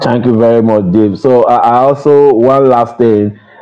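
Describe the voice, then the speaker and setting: This man speaks with a Nigerian accent. He talks at a fairly slow pace. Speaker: accountant. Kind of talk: casual discussion. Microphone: video call.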